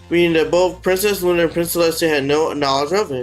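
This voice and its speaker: Someone speaks at a very fast pace with music playing in the background. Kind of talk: casual commentary narration.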